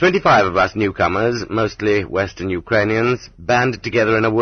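The voice reads aloud plainly, keeping its intonation fairly even.

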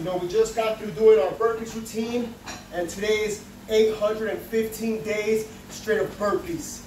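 With audible room echo and light background noise, a man in a high-pitched voice speaks at a fairly slow pace with fairly even intonation. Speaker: fitness vlogger. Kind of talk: casual vlog chat. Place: home room. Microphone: camera far.

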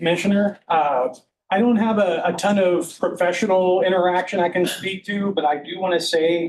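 Loud and high-pitched, a man speaks at a moderate pace with fairly even intonation. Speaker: county records department head. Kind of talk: public meeting tribute.

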